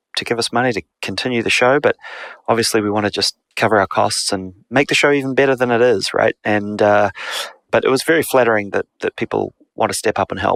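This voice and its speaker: A man's medium-pitched voice with a New Zealand accent, a fairly quick pace and ordinary pitch variation, in a dry, close sound with no echo. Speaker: podcast co-host. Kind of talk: casual chat.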